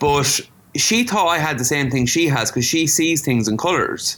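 He speaks in an Irish Midlands accent, a man with a fairly high pitch. His intonation is lively. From Ireland, County Offaly. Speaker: visual artist. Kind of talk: interview.

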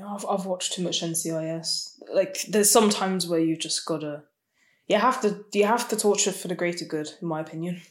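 At a moderate pace, a woman speaks in an unremarkable speaking voice with a medium pitch. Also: ordinary pitch variation. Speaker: podcast co-host. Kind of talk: casual chat.

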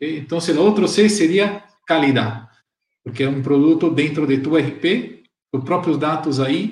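Audible room echo surrounds a man with a Portuguese accent, whose somewhat breathy voice shows ordinary pitch variation. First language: Portuguese (speaking Spanish). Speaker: software channel partner director. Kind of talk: live-streamed panel talk.

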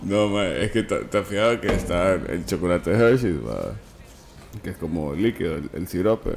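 Against noticeable background noise, a man with a Honduran accent and a very deep, low pitch talks at a fairly slow pace with lively intonation. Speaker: podcast co-host. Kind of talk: casual chat.

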